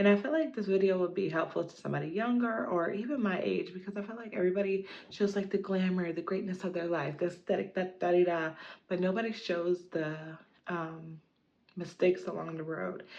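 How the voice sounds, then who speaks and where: Her unremarkable speaking voice sits at medium pitch, and the woman moves at a fairly quick pace with ordinary pitch variation. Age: 30s. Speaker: lifestyle vlogger. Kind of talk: casual personal vlog monologue. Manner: casual, filler-heavy.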